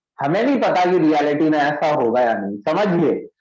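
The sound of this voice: Strong room echo surrounds a man whose slightly mellow voice sits at a fairly high pitch with big pitch swings. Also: moderate pace.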